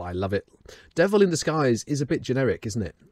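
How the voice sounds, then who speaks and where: A man with a British accent at a very fast pace. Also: dry sound with no echo. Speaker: metal YouTuber. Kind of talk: album ranking review, scripted-style commentary. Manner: animated, humorous. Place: home room. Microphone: studio mic.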